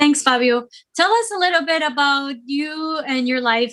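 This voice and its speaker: With a Spanish accent, a woman talks using ordinary pitch variation. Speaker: online music show host. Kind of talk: interview. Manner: halting, many fillers.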